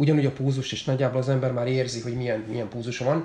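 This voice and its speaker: A man speaks at a very fast pace. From Hungary, Makó near Szeged. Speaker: triathlete. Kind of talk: casual chat. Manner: halting, many repeated words.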